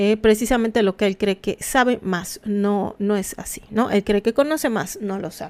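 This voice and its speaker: With a Mexican accent, the speaker goes at a fairly slow pace in a dry, close sound with no echo. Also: woman. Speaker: anthropology commentator. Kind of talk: live stream commentary. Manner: halting, many fillers; casual.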